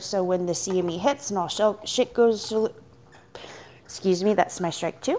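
Here a woman with a plain, everyday voice speaks at a moderate pace and medium pitch, with ordinary pitch variation. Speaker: caller. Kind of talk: casual chat.

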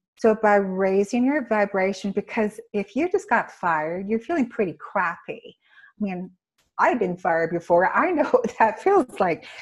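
With a Canadian accent, a woman speaks at a moderate pace in a soothing, calm tone, her fairly high, somewhat breathy voice carrying lively intonation. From Canada. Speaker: intuitive healer. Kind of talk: casual interview.

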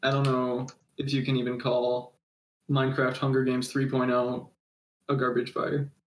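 A plain, everyday voice from a man, medium in pitch, with fairly even intonation and a fairly slow pace. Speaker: podcast co-host. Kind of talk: casual chat. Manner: laid-back, jokey.

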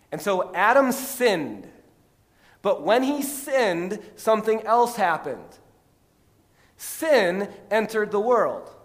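Speaking very slowly with long, frequent pauses, a man with an American accent uses a high pitch and lively intonation. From Texas, then US Midwest from age 12. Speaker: pastor. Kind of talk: sermon. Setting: church. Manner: conversational, many fillers (um, repeated words).

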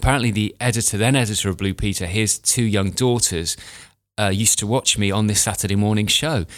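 In a British accent, the speaker goes at a very fast pace with very even loudness and fairly even intonation, on a very clean recording with a silent background. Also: man, fairly low pitch for a man. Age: 40s. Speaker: grooming and aging expert. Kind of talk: casual interview chat.

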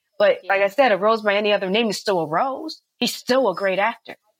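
A woman's unremarkable speaking voice in an American accent, fairly quick in pace, with ordinary pitch variation. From US West Coast, San Francisco Bay Area. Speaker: actress and rapper. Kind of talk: casual interview.

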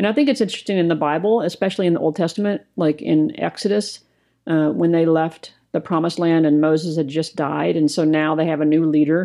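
A woman with a plain, everyday voice speaks at a fairly low pitch, with ordinary pitch variation and very even loudness. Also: fairly quick pace. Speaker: co-host, ministry co-founder. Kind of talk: casual podcast conversation.

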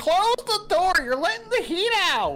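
Clear background noise sits under a put-on character voice with an extremely high pitch, very wide pitch swings and a moderate pace. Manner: bossy, scolding.

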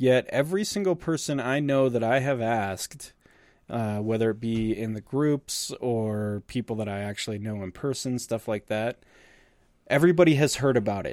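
An ordinary speaking voice moves at a moderate pace with ordinary pitch variation, captured in a very clean recording with a silent background and a dry, close sound with no echo. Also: man, medium pitch for a man. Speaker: podcast host. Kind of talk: casual chat. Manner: casual, profane, chatty.

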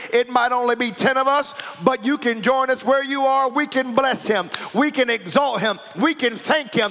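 With noticeable background noise behind him, a man talks in an animated tone at a moderate pace, his extremely high pitch showing ordinary variation while his loudness stays very even. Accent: American. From United States. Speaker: pastor. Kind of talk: sermon.

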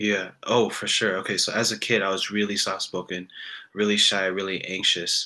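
Over a silent background in a very clean recording, a man with a bright, sharp tone and fairly low pitch talks at a moderate pace with fairly even intonation. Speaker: guest musician. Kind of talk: casual chat. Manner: soft-spoken.

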